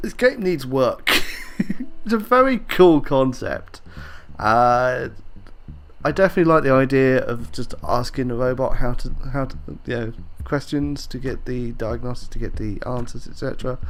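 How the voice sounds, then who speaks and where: With a British accent, a man speaks with long, frequent pauses. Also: moderate pace. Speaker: gaming youtuber. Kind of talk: gameplay commentary. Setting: headset mic at home. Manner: halting with fillers.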